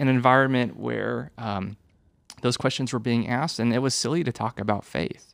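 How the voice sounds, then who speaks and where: A man speaks at a medium pitch with vocal fry in his voice. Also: very clean recording, silent background. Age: 30s. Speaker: youth ministry director. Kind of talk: casual chat. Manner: halting.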